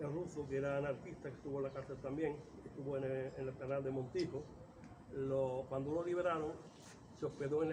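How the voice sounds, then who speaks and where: Over noticeable background noise and audible room echo, a man speaks fairly quickly at a fairly high pitch with fairly even intonation. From Córdoba, Andalusia, Spain. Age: 70s. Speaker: writer and local chronicler. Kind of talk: oral history interview. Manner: halting.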